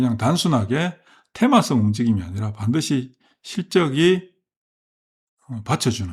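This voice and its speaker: Somewhat breathy, the voice moves at a moderate pace with very wide pitch swings. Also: man. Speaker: stock market commentator. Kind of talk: market commentary monologue. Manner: hesitant, many fillers and self-corrections.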